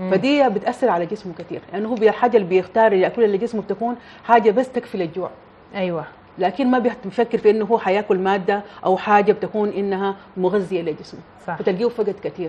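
A woman's pitch varies in an ordinary way as she speaks fairly quickly. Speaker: guest. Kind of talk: interview answer. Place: studio.

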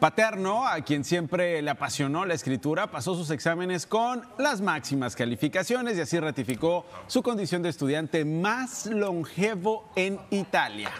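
A man's high-pitched voice at a moderate pace, with very wide pitch swings and hardly any pauses. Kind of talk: television news co-anchor banter. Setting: studio.

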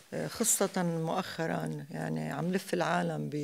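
A woman's fairly low voice at a very slow pace. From Lebanon. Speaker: theatre actress. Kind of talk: interview. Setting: stage with audience. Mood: calm, reflective. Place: hall. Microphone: studio mic.

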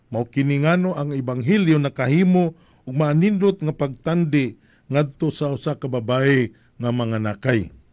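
With the background quiet, the man's speech proceeds at a moderate speed and its pitch varies in an ordinary way. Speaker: priest. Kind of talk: homily. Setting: live streaming. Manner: formal, measured preaching; earnest, reflective. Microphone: studio mic.

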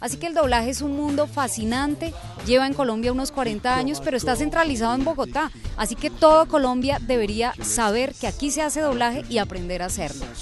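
Over clear music in the background, a woman speaks at a very fast pace and a high pitch. Her pitch varies in an ordinary way, and the sound is dry with no echo. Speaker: voice actress. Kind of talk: interview answer. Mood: warm, enthusiastic. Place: street. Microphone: handheld.

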